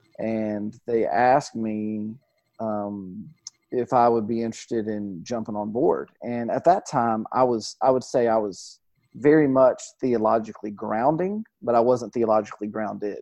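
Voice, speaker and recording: At a fairly slow pace, a man speaks in a normal speaking voice at a medium pitch. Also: fairly even intonation. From Georgia, US South (near Atlanta). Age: 30s. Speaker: pastor. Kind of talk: interview.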